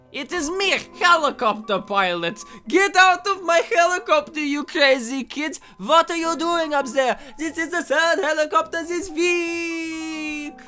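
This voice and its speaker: A gruff, put-on character voice speaks fairly slowly. Music plays in the background. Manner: gruff, scolding.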